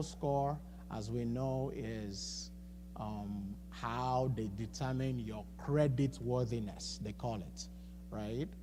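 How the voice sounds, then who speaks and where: A man's voice with audible room echo. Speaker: financial coach speaking at a church. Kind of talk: seminar talk. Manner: halting, with many repetitions and fillers.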